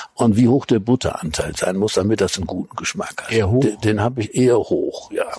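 The man speaks at a moderate pace. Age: 70s. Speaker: food critic and cookbook author. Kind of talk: interview. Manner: halting.

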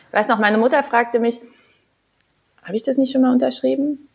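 A woman with a fairly high voice. She talks very fast. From Saarland, Germany. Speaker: physiotherapist, former handball athlete. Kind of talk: casual interview. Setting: video call from her living room.

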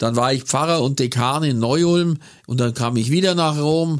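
A man talks at a moderate pace in an unremarkable speaking voice with ordinary pitch variation. The recording is very clean, with a silent background. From Bavarian Swabia, Kaufering near Lech. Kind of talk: casual interview. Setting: studio.

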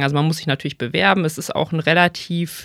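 A woman's fairly low-pitched voice with ordinary pitch variation. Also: dry, close sound with no echo, very clean recording, silent background. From Rhineland, Germany (Bonn). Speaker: physician. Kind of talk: casual interview. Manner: hesitant, many filler sounds.

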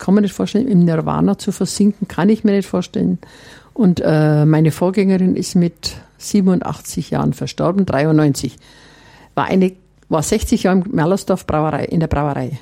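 This woman has a dark, mellow tone and a fairly low pitch. She speaks at a moderate pace with ordinary pitch variation. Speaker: nun and master brewer. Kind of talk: interview.

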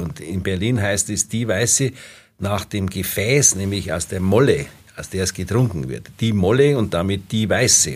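An unremarkable speaking voice talks at a moderate pace. The intonation is lively. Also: man. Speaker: dialect expert and professor. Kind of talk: casual expert chat.

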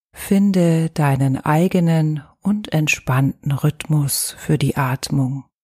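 On a very clean recording with a silent background and a dry, close sound with no echo, a woman with a very deep, low pitch speaks very slowly, somewhat breathy, in a dark, mellow, soothing and calm tone, with hardly any pauses. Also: ordinary pitch variation. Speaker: yoga teacher. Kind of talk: guided meditation. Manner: slow, soothing, calm; soft-spoken, gentle, with long pauses.

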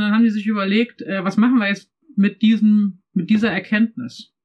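The speech moves at a fairly quick pace, somewhat breathy, with fairly even intonation. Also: woman. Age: 50s. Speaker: pastor and church development consultant. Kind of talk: casual discussion.

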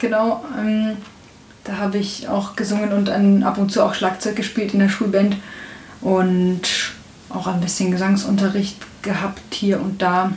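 A woman speaks at a fairly slow pace in a medium pitch, with monotone, flat intonation and long, frequent pauses. Audible room echo and noticeable background noise fill the recording. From Bavaria, Upper Bavaria (Traunstein district). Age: 20s. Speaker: audio description writer and musician. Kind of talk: casual interview.

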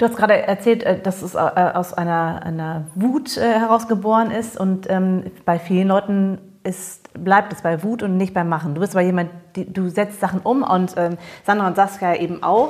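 Using an ordinary speaking voice, a woman at medium pitch talks at a moderate pace with ordinary pitch variation. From Germany. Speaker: podcast host. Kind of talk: casual interview chat.

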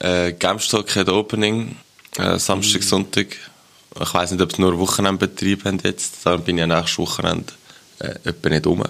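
A man's very deep, low voice in a monotone with flat intonation. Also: moderate pace. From Switzerland. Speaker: podcast co-host. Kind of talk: casual chat.

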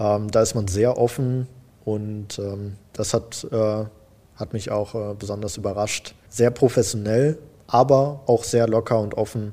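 A man speaks at a fairly slow pace with a dark, mellow tone. His medium pitch follows a fairly even intonation. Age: 20s. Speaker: IT apprentice. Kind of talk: casual interview. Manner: hesitant, many fillers.

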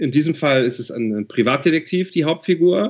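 A man uses a normal speaking voice, talking at a moderate pace and varying his pitch in an ordinary way. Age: 40s. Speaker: novelist. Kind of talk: interview.

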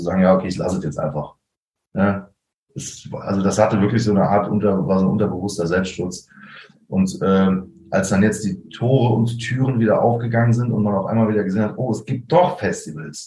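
Talking at a fairly quick pace, a man with a fairly low, somewhat breathy voice and a dark, mellow tone shows ordinary pitch variation. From Germany, Koblenz-Westerwald region. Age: 30s. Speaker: drummer. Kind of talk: casual interview. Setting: video call.

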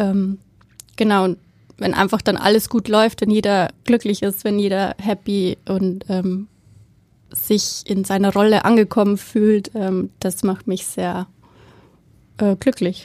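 Speaking very slowly with long, frequent pauses, a woman at a medium pitch holds a monotone, flat intonation on a very clean, silent-background recording with a dry, close sound and no echo. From Bavaria, Germany. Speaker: head of theatre make-up department. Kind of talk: casual interview. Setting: studio. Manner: hesitant, many fillers.

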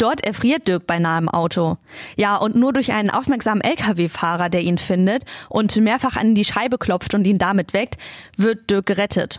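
In an ordinary speaking voice, a woman of medium pitch talks at a moderate pace with ordinary pitch variation, recorded dry and close with no echo. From Lower Saxony, Germany (Peine). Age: 20s. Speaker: podcast host. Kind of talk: scripted narration.

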